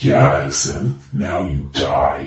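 With a strong echo, a man growls in a put-on character voice at a very deep, low pitch. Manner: menacing.

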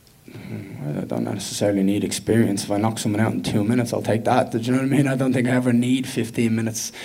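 A man with an Irish accent and medium pitch talks at a very fast pace with hardly any pauses, against noticeable background noise. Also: ordinary pitch variation. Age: 20s. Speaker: professional MMA fighter. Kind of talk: media day interview. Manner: loud; animated.

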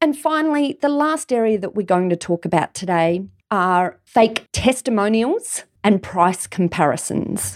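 In an Australian accent, a woman speaks at a medium pitch and a fairly slow pace, with hardly any pauses and very wide pitch swings. The recording is very clean with a silent background, dry and close with no echo. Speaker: lawyer podcast host. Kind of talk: solo legal tips monologue.

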